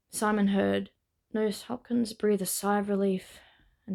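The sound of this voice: The background stays quiet. Someone reads in an unforced voice.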